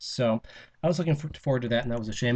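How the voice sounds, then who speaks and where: A man with a somewhat breathy voice and a dark, mellow tone. His pitch varies in an ordinary way. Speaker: vlogger recording a convention audio log. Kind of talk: personal audio log, casual monologue. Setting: recording in roommate's room for soundproofing. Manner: halting, many fillers and false starts.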